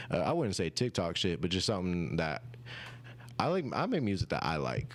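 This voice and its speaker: With an American accent and vocal fry, a man speaks at a very deep, low pitch and a fairly quick pace. His loudness is very even, yet his pitch swings very widely. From rural Oklahoma, US. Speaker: musician. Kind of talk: interview. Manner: casual.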